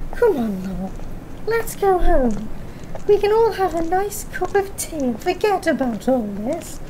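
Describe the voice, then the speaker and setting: A woman's put-on character voice at an extremely high pitch, fairly slow pace, clear background noise behind it. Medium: audio drama. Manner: brisk and breezy.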